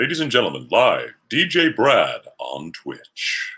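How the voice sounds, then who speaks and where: The speaker is a man using a put-on character voice. It sounds raspy and goes at a fairly slow pace. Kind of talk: radio announcer delivery.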